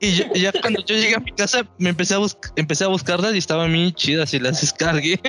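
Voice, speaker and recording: Talking at a very fast pace with a Mexican accent, a man uses a high pitch and ordinary pitch variation amid noticeable background noise. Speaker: podcast host. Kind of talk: casual chat.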